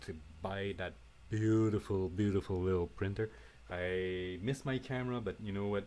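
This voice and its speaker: This is a man speaking. His pitch is fairly low. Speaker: 3D printing hobbyist. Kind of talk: unedited tutorial. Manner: halting, many fillers.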